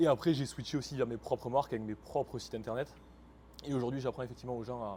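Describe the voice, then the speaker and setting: In a dark, mellow voice of medium pitch, a man races along at a very fast pace with fairly even intonation. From France. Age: 20s. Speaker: e-commerce entrepreneur. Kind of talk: interview.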